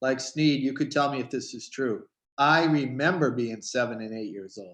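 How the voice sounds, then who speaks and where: A man talks at a moderate pace in an ordinary speaking voice of medium pitch. His pitch variation is ordinary, while his loudness swings widely. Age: 60s. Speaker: children's book author hosting panel. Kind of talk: casual panel chat.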